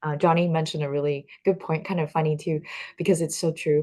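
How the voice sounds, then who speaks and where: Against a quiet background, a woman with a Chinese accent talks at a fairly quick pace in a fairly low pitch. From Taiwan. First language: Mandarin Chinese. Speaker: talk show host. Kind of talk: casual interview chat. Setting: livestream.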